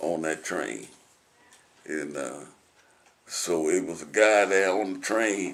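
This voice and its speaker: A man's very deep, low voice in a Southern US accent, very slow pace, ordinary pitch variation, long, frequent pauses and noticeable background noise. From Tennessee. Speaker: war veteran. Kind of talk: oral history interview answer.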